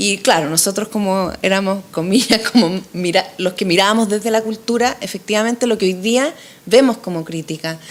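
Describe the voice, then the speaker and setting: A woman at a medium pitch with ordinary pitch variation and a moderate pace, a plain, everyday voice. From Chile. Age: 40s. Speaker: political candidate. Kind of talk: interview.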